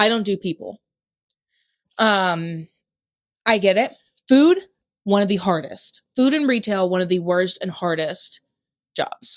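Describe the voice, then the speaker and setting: A loud woman with an American accent at a fairly slow pace. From US South. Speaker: podcast co-host. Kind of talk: casual chat.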